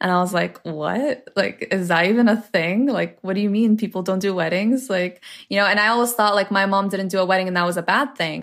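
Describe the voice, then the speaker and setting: Heard in a very clean recording with a silent background, a woman with a Canadian accent has an unremarkable speaking voice, medium pitch, ordinary pitch variation and a fairly quick pace. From Ontario, Canada (Toronto area). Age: 20s. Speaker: social media influencer. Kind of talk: interview storytelling.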